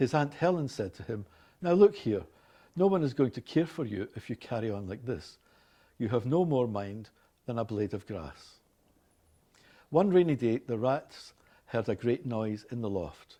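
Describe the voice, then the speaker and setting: With a Glaswegian accent, a man of medium pitch talks at a moderate pace, his pitch swinging very widely between long, frequent pauses. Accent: Scottish, Glaswegian. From Glasgow, Scotland. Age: 60s. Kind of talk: scripted reading of a passage and word lists.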